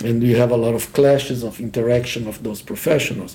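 Somewhat breathy, a man's voice carries a dark, mellow tone. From Brazil. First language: Portuguese. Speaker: professor. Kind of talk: casual chat.

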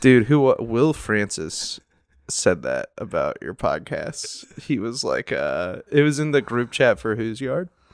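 The recording is very clean, with a silent background. A man speaks at a fairly slow pace. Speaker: comedian. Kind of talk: casual chat.

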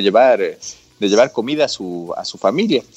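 This man talks at a moderate pace, and the sound is dry and close, without any echo. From Ecuador, Quito. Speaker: business chamber president. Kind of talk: radio interview.

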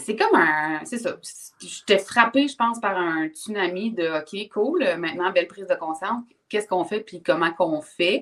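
A woman with a medium-pitched voice delivers her words with lively intonation, going very slowly. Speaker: personal development coach. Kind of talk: casual interview chat. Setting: livestream.

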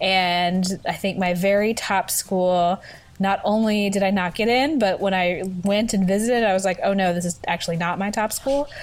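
Speaking in a plain, everyday voice, a woman with an American accent keeps a medium pitch, a moderate pace, very even loudness and hardly any pauses. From US South, Memphis, Tennessee. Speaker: theater director and festival producer. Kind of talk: casual interview.

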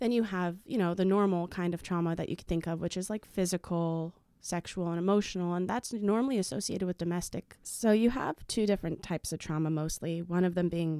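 Speaking at a fairly quick pace with hardly any pauses, a woman with a fairly low pitch and a dark, mellow tone keeps her intonation fairly even, heard dry and close with no echo on a very clean recording with a silent background. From Middle East. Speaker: teacher. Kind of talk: interview conversation.

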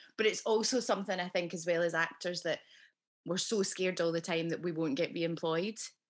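Speaking at a fairly quick pace in a Scottish accent, a woman uses a fairly low pitch with ordinary pitch variation. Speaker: podcast host and actress. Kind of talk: casual interview chat. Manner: warm and chatty.

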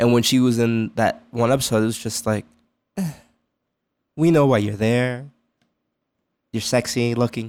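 In an American accent, a man talks at a medium pitch, leaving long, frequent pauses. The recording is very clean and the background silent. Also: moderate pace. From New York, north of the city. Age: 20s. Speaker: podcast co-host. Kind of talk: casual chat. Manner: halting.

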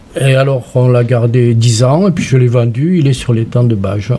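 Background noise is noticeable behind this man. He talks at a fairly slow pace in a medium pitch. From southwestern France. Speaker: sculptor and retired art teacher. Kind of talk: radio interview.

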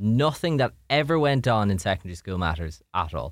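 Someone with an Irish accent talks at a moderate pace in a very clean recording with a silent background. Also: man. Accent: Irish (Louth). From Ireland, Drogheda (County Louth). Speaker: radio DJ. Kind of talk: casual chat. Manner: animated.

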